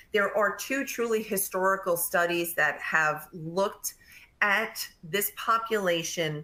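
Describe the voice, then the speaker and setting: A strong New York accent in a bright, sharp tone at a fairly slow pace. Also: woman. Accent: thick New York. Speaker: nurse practitioner and nursing educator. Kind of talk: webinar presentation.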